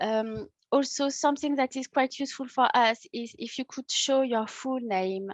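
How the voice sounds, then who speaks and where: A woman with a French accent at a fairly slow pace, ordinary pitch variation, and a dry, close sound with no echo. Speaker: workshop host, tourism project officer. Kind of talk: online workshop presentation. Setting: video call. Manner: hesitant, many fillers.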